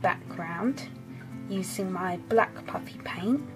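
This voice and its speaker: Very slowly, a woman speaks with very wide pitch swings over music in the background. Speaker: craft tutorial maker. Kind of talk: craft tutorial voice-over. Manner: casual, modest.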